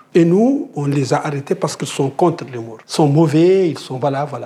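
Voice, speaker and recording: A man speaking at a fairly slow pace, ordinary pitch variation, and noticeable background noise. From Mauritania. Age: 50s. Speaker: anti-slavery activist. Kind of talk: interview testimony. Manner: halting with repetitions.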